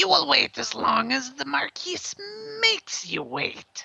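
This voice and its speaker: Pitched fairly high, this is a put-on character voice. It unfolds at a fairly slow pace. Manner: commanding, haughty.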